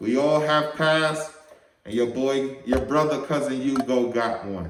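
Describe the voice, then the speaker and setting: There is audible room echo as a man speaks fairly slowly at a fairly high pitch. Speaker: firearms channel host. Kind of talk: casual vlog talk to camera.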